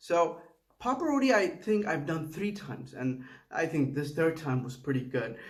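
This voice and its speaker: Audible room echo surrounds a man with a fairly high voice. He talks at a moderate pace with lively intonation. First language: Tamil. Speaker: home cook video creator. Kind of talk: casual cooking vlog voiceover. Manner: halting, with false starts.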